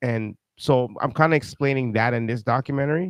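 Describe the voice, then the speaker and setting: A man talks at a fairly quick pace with ordinary pitch variation. The sound is dry and close with no echo, over a quiet background. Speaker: talk show host and documentary maker. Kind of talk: interview. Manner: halting, many repetitions; fast.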